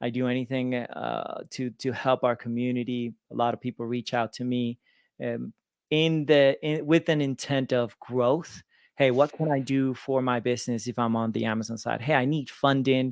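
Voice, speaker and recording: A man talks at a moderate pace with a slight Venezuelan accent. The background is quiet, and the sound is dry and close with no echo. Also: medium pitch for a man. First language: Spanish. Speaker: lender and business owner. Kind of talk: interview. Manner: energetic.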